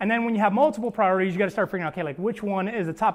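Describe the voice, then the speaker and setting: A man's speech shows ordinary pitch variation on a very clean recording with a silent background. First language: not English. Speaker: pastor. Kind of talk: sermon. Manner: casual, filler-heavy (like, um).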